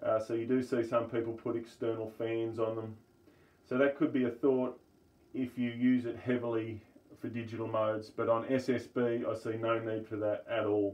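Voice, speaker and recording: The speaker has an Australian accent and talks at a moderate pace in a monotone, flat intonation. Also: man, medium pitch for a man. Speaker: amateur radio hobbyist video maker. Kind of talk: tutorial. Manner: casual, with hesitations. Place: home room. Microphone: phone near.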